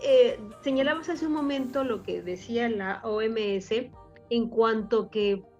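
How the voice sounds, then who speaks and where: A woman speaks in a high pitch with lively intonation. Music plays in the background. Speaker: radio announcer. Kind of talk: radio talk show discussion.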